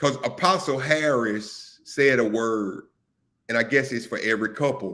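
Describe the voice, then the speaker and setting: Speaking at a moderate pace, a man uses a plain, everyday voice with a medium pitch and ordinary pitch variation. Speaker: live stream show host. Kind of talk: casual discussion.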